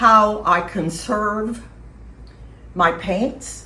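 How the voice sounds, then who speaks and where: A woman speaks with a bright, sharp tone and some vocal fry. Her voice carries audible echo from the room. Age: 80s+. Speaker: watercolor painter giving a demo. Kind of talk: narrated studio tour / demo talk.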